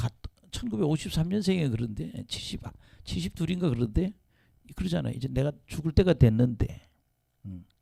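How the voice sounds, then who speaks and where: At a moderate pace and medium pitch, a man speaks in a dark, mellow, somewhat breathy tone, with very wide pitch swings, big shifts in loudness and long, frequent pauses. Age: 70s. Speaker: pastor. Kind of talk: sermon.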